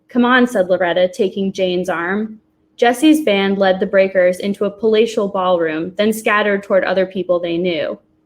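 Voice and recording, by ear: The text is read aloud in a natural voice with ordinary pitch variation.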